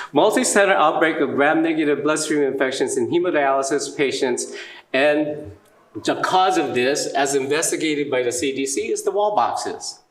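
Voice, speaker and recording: A man speaks at a moderate pace. Room echo is audible, and background noise is noticeable. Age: 70s. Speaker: dialysis clinician and conference speaker. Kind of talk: lecture.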